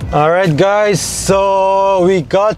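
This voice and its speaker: Fairly even intonation marks this man's speech, heard in a dry sound with no echo. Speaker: vlogger. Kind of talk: casual vlog chat. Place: car.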